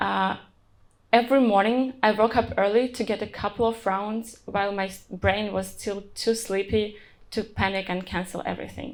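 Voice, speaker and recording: The speaker talks at a moderate pace with fairly even intonation. The recording is very clean, with a silent background. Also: woman, medium pitch for a woman. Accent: non-native. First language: not English. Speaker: software engineer. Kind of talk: conference talk.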